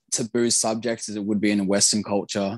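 A man speaks at a moderate pace, the sound dry and close without any echo. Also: quiet background. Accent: Australian. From Australia. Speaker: expat living in Japan. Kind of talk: casual interview.

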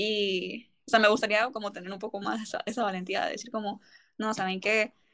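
This woman speaks very fast. She keeps her intonation fairly even. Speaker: podcast host. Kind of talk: casual chat.

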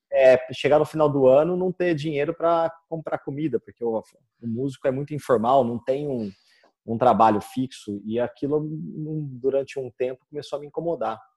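A man talks at a moderate pace in a fairly high voice with a dark, mellow tone and ordinary pitch variation. The sound is dry and close, with no echo. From Brazil, Campinas (São Paulo state). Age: 30s. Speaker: guitar teacher and musician. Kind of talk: interview.

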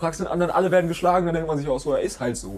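A high-pitched man's voice with fairly even intonation. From Germany. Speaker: podcast co-host. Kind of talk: casual chat.

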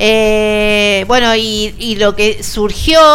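Over noticeable background noise and audible room echo, a woman talks at a fairly high pitch. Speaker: rugby radio show host. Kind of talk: radio show hosting and interviews. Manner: animated.

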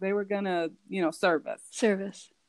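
The woman's voice sits at a medium pitch. She talks at a moderate pace. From California. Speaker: teacher. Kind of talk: casual chat. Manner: halting.

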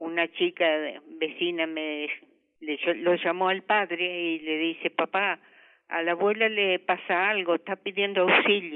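A woman speaks with an Argentine Litoral accent at a fairly slow pace. Her voice is fairly low, and her intonation fairly even. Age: 80s+. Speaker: grandmother, fire victim. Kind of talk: interview testimony. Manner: halting.

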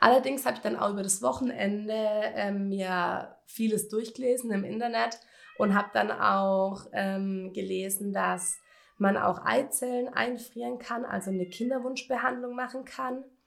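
A woman with a normal speaking voice talks at a medium pitch and moderate pace, using ordinary pitch variation. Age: 20s. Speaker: cancer patient podcaster. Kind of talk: personal testimony monologue. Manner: casual, many fillers.

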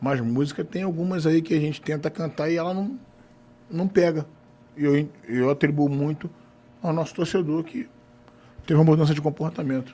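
A man's dark, mellow tone at a fairly high pitch, with ordinary pitch variation, a moderate pace and long, frequent pauses. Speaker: football supporters' group president. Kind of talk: casual chat.

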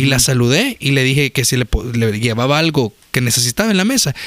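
Moderately paced, a man speaks with very wide pitch swings in a dry, close sound with no echo. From El Salvador. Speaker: podcast co-host. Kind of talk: casual chat.

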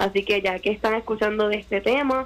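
A woman talks at a fairly quick pace and medium pitch with fairly even intonation. It is a plain, everyday voice. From Puerto Rico. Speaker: media and communications consultant. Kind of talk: radio interview.

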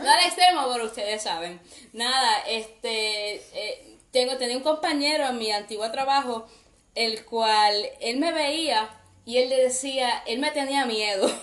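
A woman speaks in a high voice at a fairly slow pace. Her pitch moves with ordinary variation. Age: 20s. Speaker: podcast host. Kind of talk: casual chat.

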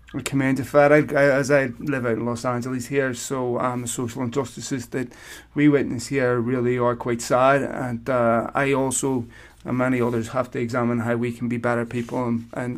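A man with a Northern Irish accent, medium pitch, fairly quick pace and monotone, flat intonation. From Belfast, Northern Ireland. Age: 40s. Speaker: podcast host. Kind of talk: interview.

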